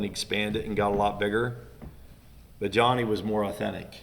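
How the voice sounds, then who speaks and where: A man's bright, sharp voice at a moderate pace, fairly even in intonation, with audible room echo. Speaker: business owner's father, guest on family business podcast. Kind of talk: casual chat.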